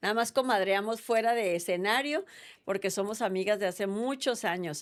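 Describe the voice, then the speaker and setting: With an unremarkable speaking voice, a woman talks at a moderate pace and with ordinary pitch variation on a very clean recording with a silent background. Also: medium pitch for a woman. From Mexico, Sonora. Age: 60s. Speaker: politician. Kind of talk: interview.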